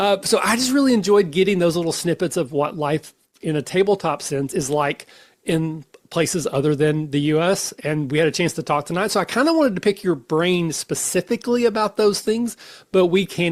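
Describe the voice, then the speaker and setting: A man with an American accent speaks at a high pitch and a fairly quick pace, his intonation lively. The recording is very clean, the background silent. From United States. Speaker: podcast host. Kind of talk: casual chat. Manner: smooth.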